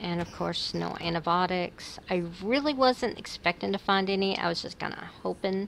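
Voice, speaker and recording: A woman's medium-pitched voice at a moderate pace, hardly any pauses, ordinary pitch variation, and noticeable background noise. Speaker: gaming let's play creator. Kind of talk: gameplay commentary.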